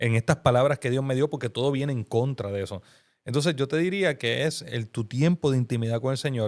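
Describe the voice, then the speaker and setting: Lively intonation and an animated tone mark this man's speech at a moderate pace. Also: very clean recording, silent background. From Puerto Rico, Bayamón. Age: 40s. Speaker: pastor and filmmaker. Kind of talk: podcast interview.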